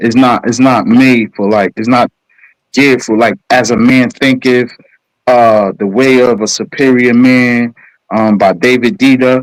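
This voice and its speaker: At a moderate pace, a man with an American accent and medium pitch speaks in a dry, close sound with no echo. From New York, Brooklyn. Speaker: caller in live stream. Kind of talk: heated debate. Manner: comes off as aggressive.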